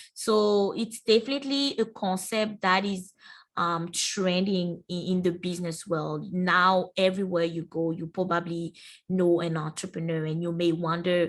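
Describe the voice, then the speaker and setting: At a moderate pace, the speech keeps a fairly even intonation. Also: woman, fairly low pitch for a woman. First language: French. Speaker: university entrepreneurship centre staff presenter. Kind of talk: webinar presentation. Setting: online webinar.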